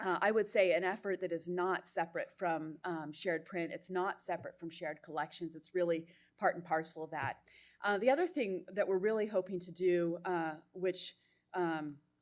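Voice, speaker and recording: A woman with a normal speaking voice talks at a moderate pace in a fairly low pitch, her intonation fairly even but her loudness swinging widely, on a very clean recording with a silent background. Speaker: library consortium panelist. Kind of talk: conference panel presentation.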